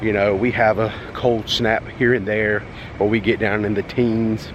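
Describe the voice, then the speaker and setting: With a Southern US accent, a man speaks at a medium pitch over noticeable background noise. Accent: Southern drawl. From North Carolina, US South. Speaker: travel vlogger. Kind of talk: walking tour vlog. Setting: outdoors at a resort. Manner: casual, chatty.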